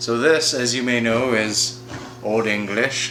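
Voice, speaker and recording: With music in the background, a man speaks at a medium pitch. His intonation stays fairly even. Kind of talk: casual improvised comedy talk to camera.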